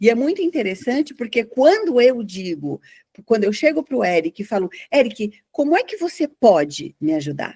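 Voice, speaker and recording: A woman's fairly high, dark and mellow voice with very wide pitch swings. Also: moderate pace. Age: 60s. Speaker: journalist and psychologist. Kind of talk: casual podcast conversation.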